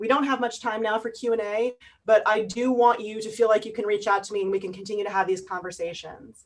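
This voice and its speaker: Speaking at a very fast pace, a woman keeps her fairly high voice in fairly even intonation. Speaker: workshop presenter. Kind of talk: online workshop wrap-up.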